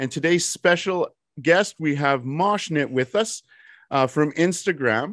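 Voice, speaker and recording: A man's normal speaking voice, fairly high in pitch with ordinary pitch variation, at a fairly slow pace, dry and close with no echo against a quiet background. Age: 40s. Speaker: podcast host. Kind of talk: interview.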